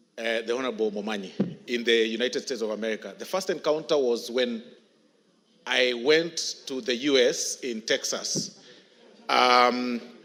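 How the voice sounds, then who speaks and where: A man talks with long, frequent pauses. His pitch varies in an ordinary way. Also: medium pitch for a man, moderate pace. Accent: Kenyan. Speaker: member of parliament. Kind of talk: parliamentary speech. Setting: parliament chamber.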